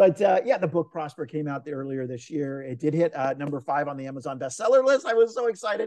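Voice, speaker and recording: Words tumble out at a very fast pace with hardly any pauses. The tone is dark and mellow, and the intonation is lively. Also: man, fairly high pitch for a man. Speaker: entrepreneur and author. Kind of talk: interview.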